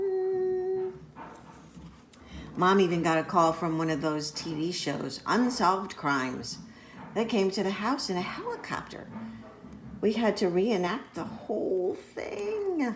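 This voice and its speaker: Amid noticeable background noise, a woman with a medium pitch and a gentle tone speaks at a fairly slow pace, her intonation lively and her pauses long and frequent. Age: old. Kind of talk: children's picture book read-aloud. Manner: gentle, storytelling.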